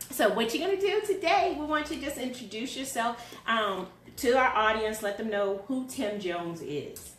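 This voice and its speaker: A loud voice with an American accent moves at a moderate pace through very wide pitch swings. Noticeable background noise and audible room echo fill the recording. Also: woman, high pitch for a woman. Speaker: talk show host. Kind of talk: casual interview.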